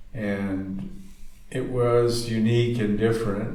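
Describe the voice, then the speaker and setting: Audible room echo follows a man who speaks in a fairly low pitch with monotone, flat intonation and an American accent. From California. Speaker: surfboard shaper. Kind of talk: interview. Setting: surfboard factory. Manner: halting, many fillers.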